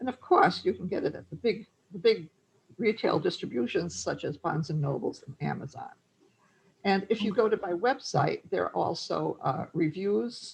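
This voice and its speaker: At a moderate pace, a woman with a Massachusetts accent speaks with big swings in loudness. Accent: Fall River accent, close to Rhode Island. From Fall River, Massachusetts. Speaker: translator. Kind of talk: presentation with Q&A. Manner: halting.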